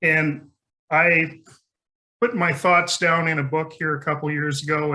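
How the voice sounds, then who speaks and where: This man's voice sits fairly high in pitch, and his intonation stays fairly even. He speaks at a moderate pace in a room with audible echo. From rural area. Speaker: conference speaker. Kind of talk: conference talk.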